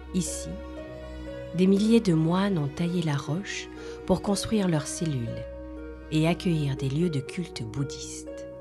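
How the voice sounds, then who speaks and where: A woman speaks at a fairly slow pace with long, frequent pauses. Music plays behind her. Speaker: voice actor. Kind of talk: travel documentary narration.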